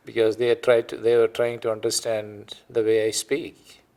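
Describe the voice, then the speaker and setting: On a very clean recording with a silent background, a man with an Indian accent speaks at a moderate pace. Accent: Indian, noticeable. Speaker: retired physician. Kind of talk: oral history interview.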